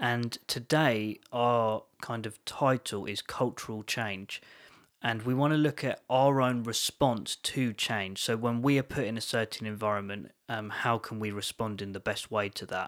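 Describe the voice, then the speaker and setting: A man with a southern English accent speaks at a fairly slow pace, his medium-pitched voice following a fairly even intonation on a very clean recording with a silent background. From England, London area. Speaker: podcast co-host. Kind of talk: casual chat.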